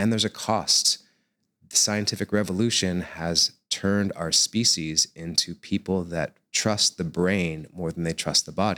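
A very deep, low male voice with an American accent, a bright, sharp tone and fairly even intonation, in a dry, close sound with no echo. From United States. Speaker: acrobat and yoga teacher. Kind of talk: interview.

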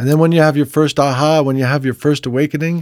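In a very clean recording with a silent background, a man with an American accent and a plain, everyday voice talks at a fairly high pitch with fairly even intonation. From US Northeast, New Jersey. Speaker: music producer and author. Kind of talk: casual chat.

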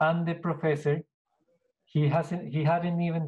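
With a Spanish accent, a man speaks at a moderate pace in a dark, mellow tone that is somewhat breathy. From Colombia (Bogota). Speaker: business owner. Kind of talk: interview.

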